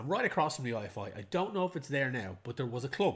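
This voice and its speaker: A man speaks with an Irish accent and lively intonation. The recording is very clean, with a silent background. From Ireland. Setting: home recording.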